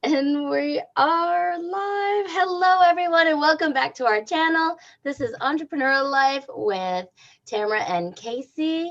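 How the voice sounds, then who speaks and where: Loud and high-pitched, a woman speaks at a fairly slow pace with very wide pitch swings. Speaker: podcast co-host. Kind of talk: livestream interview. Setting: livestream.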